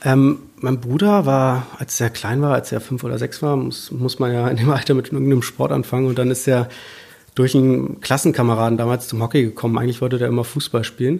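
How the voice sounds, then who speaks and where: His voice a normal speaking voice, a man talks fairly quickly at a medium pitch with fairly even intonation. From Berlin, Germany. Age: 20s. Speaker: field hockey player. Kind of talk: casual interview.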